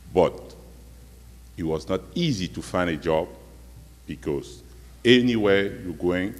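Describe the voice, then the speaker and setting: A man's very deep, low voice with vocal fry and a non-native accent, fairly slow and full of long, frequent pauses, lively in intonation, on a very clean recording with a silent background. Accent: foreign accent, non-native. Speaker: community member speaking at public forum. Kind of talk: personal testimony at public meeting. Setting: community meeting in school hall.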